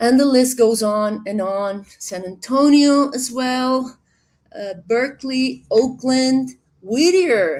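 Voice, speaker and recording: A woman speaks in a high pitch with ordinary pitch variation. She has a Spanish accent. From Colombia. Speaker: director of a digital library platform. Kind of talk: webinar introduction.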